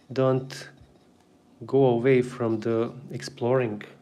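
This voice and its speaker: Very slow delivery in a Bosnian accent, monotone and flat, with audible room echo. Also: man. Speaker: artist and drawing teacher. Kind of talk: live drawing tutorial. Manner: casual, halting.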